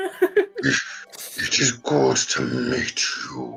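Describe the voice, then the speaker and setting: Putting on a character voice, a man speaks loud and booming. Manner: grand, formal.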